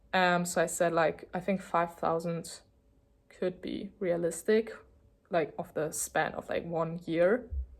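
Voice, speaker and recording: A woman at a fairly slow pace with a German accent, in a very clean recording with a silent background. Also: fairly even intonation. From Germany. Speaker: vlogger. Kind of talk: casual chat. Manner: hesitant, lots of fillers.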